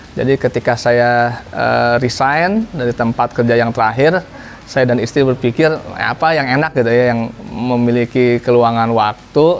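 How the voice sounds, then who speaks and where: A man speaks at medium pitch and a moderate pace, his intonation fairly even. Background noise is noticeable. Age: 30s. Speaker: small business owner. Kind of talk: interview testimony.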